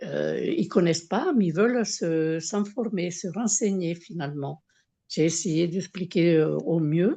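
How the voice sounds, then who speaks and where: A woman talks at a very slow pace with a dark, mellow tone. Her pitch is fairly low, with ordinary pitch variation. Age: 70s. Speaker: testimonial giver with autoimmune diseases. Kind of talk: testimony. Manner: halting, many hesitations.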